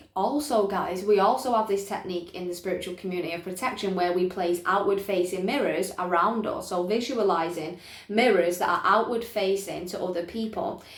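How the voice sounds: A woman speaks at a fairly quick pace with a medium pitch and ordinary pitch variation. Audible room echo surrounds her voice.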